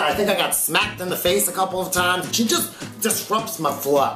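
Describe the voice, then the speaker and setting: A man talking at a fairly quick pace over clear music in the background. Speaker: vlogger. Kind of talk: casual vlog storytelling. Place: home room.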